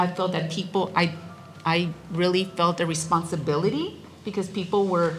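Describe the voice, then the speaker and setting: With music in the background and audible room echo, a woman in a Spanish accent speaks at a moderate pace, her fairly low pitch varying in an ordinary way. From South Texas, the Valley. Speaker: college president. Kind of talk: welcome speech. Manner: halting, with repetitions.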